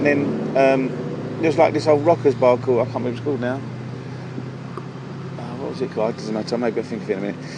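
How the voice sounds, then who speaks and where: Over noticeable background noise, a man speaks at a very fast pace and a medium pitch. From southern England, Surrey (Leatherhead). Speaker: house music DJ. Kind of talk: casual chat. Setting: outdoors at a pub. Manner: halting, many fillers and repetitions.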